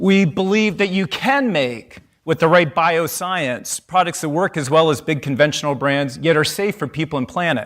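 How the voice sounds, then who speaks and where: A man's high, animated voice with lively intonation and a Canadian accent. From Canada. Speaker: company CEO. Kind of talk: conference keynote talk. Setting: stage with audience.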